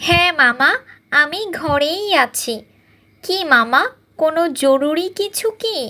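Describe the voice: A cartoonish character voice with a high pitch speaks at a very slow pace.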